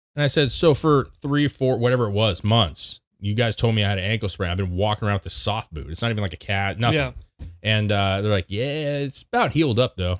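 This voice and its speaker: Very fast and lively in intonation, a man talks at a fairly low pitch. The background is quiet. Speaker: podcast co-host. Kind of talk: casual podcast storytelling. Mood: amused, exasperated anecdote. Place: studio. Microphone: studio mic.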